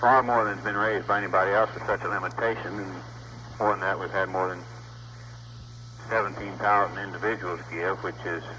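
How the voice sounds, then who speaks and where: Talking at a fairly quick pace but with long, frequent pauses, a man with an American accent uses a fairly low pitch, ordinary pitch variation and vocal fry. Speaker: politician, US Senate candidate. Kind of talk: phone call to a live audience.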